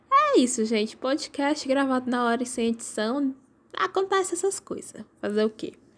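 Noticeable background noise sits behind a woman with a high pitch. She talks at a moderate pace with lively intonation. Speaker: podcast host. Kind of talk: casual monologue. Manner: animated.

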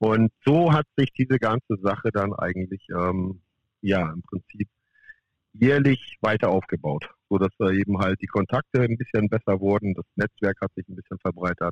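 An unremarkable speaking voice: a man at a fairly low pitch, moderate pace and ordinary pitch variation, in a dry, close sound with no echo. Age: 50s. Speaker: professional golf caddie. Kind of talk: interview.

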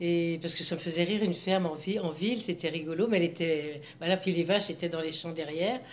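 A woman speaks at a very fast pace. Her pitch is medium, and her intonation is fairly even. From Anjou, western France. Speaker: grandmother sharing memories. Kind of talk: casual group conversation.

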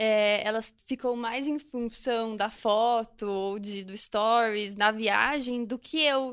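A woman speaks at a very slow pace with a fairly high pitch and fairly even intonation. The recording is very clean, with a silent background. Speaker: social media influencer. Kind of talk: casual chat.

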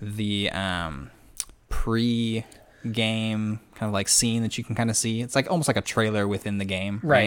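In a plain, everyday voice, the speaker talks at a fairly slow pace with ordinary pitch variation. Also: man, fairly low pitch for a man. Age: 20s. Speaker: podcast host, health sciences student. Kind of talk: casual chat. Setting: studio. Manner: laughs a lot.

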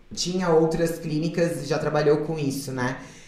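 Noticeable background noise sits behind a woman who talks at a moderate pace with ordinary pitch variation. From southern Brazil, Florianópolis. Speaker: model and former reality TV contestant. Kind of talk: casual interview chat.

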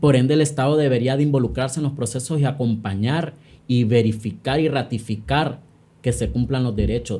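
A man talks at a fairly quick pace and a medium pitch, with ordinary pitch variation. His tone is dark, mellow and somewhat breathy. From Honduras, San Pedro Sula. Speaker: activist and social psychologist. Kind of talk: interview conversation.

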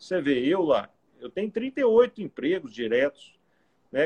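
A man speaks at a fairly slow pace in a high voice with very wide pitch swings, the sound dry and close with no echo. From Goiás, Brazil (Goiânia area). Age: 40s. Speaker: cyclist and businessman, former politician. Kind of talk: casual interview on a live stream.

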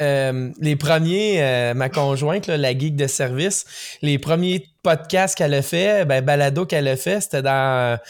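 With a Quebec accent, a man at a fairly high pitch talks with very even loudness and hardly any pauses on a very clean recording with a silent background. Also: ordinary pitch variation, fairly slow pace. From Quebec, Rimouski. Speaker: podcast co-host. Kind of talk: casual interview.

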